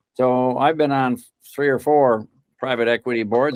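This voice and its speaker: This man has a plain, everyday voice at a medium pitch. He keeps a moderate pace and fairly even intonation. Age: 60s. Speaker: corporate board director, governance expert. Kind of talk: interview. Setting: podcast.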